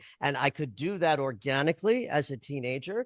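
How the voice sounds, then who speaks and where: A man with an unremarkable speaking voice talks at a moderate pace and a fairly high pitch, with lively intonation. The sound is dry and close with no echo, against a quiet background. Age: 60s. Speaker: dream interpreter and astrologer. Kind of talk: interview conversation.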